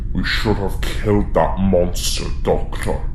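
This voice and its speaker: A man uses a put-on character voice at a fairly slow pace. Loud background noise sits behind him. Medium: audio drama.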